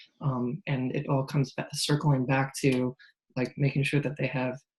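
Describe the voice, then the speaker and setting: A man speaks at a medium pitch and moderate pace. His voice is somewhat breathy, with fairly even intonation. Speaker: accessibility specialist. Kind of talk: panel discussion. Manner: deadpan, monotone.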